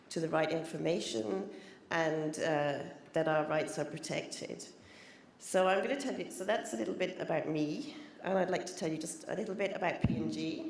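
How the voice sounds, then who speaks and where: Audible room echo surrounds a woman speaking at a moderate pace. Her fairly low voice has lively intonation. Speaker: corporate trademark specialist. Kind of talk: conference presentation. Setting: conference stage with audience.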